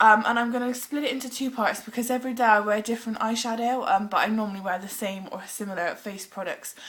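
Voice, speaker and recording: With a British accent, a woman talks very fast and hardly pauses, her intonation fairly even. Background noise is noticeable. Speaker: beauty vlogger. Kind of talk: makeup tutorial. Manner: casual, hesitant with ums.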